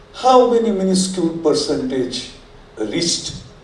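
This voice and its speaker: Against noticeable background noise and audible room echo, a man speaks at a high pitch. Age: 70s. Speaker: audience member, retired academic. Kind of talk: audience question. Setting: air-conditioned hall with audience.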